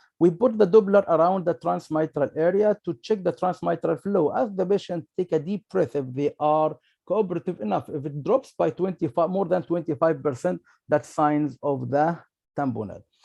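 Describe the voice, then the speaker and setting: Dry and close with no echo, this man's voice has a dark, mellow tone and a high pitch with ordinary variation. The background is quiet. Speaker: emergency physician. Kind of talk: medical lecture. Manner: fast.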